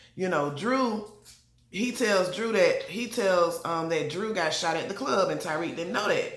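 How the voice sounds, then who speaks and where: A woman's medium-pitched voice carries an animated tone with ordinary pitch variation. Room echo is audible, along with noticeable background noise. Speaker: TV show reviewer. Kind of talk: casual TV recap. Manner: fast.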